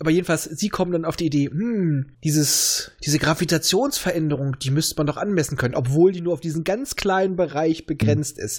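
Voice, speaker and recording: A man's fairly high voice at a fairly quick pace, with ordinary pitch variation and hardly any pauses. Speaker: podcast host. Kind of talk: casual chat.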